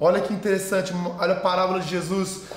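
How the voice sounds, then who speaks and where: A man speaks in a room with audible echo. Noticeable background noise runs underneath. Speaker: pastor. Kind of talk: sermon. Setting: online video sermon.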